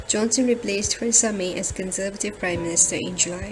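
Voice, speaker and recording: Music plays in the background. A woman talks at a very fast pace. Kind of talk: news narration.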